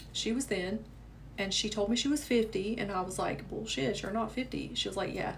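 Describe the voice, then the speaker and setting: A woman with a Southern US accent talks at a fairly quick pace. Audible room echo surrounds her voice. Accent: southern American. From US South. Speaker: manifestation coach. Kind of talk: live stream chat. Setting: livestream. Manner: casual, chatty.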